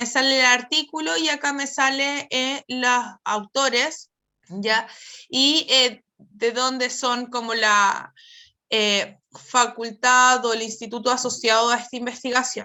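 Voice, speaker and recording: A woman at a high pitch and a very slow pace. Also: fairly even intonation. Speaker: psychologist presenting research. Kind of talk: webinar presentation.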